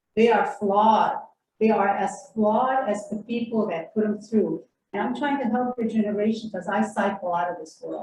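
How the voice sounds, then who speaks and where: A woman speaks in a somewhat breathy voice at a fairly high pitch. Her pace is moderate and her intonation fairly even. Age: 70s. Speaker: audience member at a community forum. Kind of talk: public Q&A comment. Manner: emphatic.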